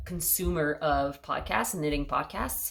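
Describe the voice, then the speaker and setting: A woman with a Quebec accent speaks in a very deep, low voice with monotone, flat intonation. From Quebec, Montreal. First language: French. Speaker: knitting podcaster. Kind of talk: casual chat.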